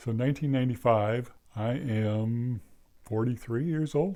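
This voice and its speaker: Over a quiet background, a man talks at a medium pitch in a dark, mellow tone. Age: 70s. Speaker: YouTube channel host. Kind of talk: casual monologue. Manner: halting.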